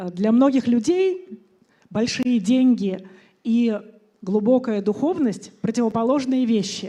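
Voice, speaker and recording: A woman's fairly high-pitched voice with a dark, mellow tone, lively intonation, a fairly slow pace and a Russian accent. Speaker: conference speaker, entrepreneur. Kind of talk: conference talk.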